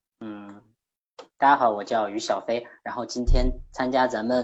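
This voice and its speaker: The voice belongs to a man and sits at medium pitch. He keeps his delivery at a moderate speed. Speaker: livestream participant. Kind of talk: reading aloud. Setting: online voice link.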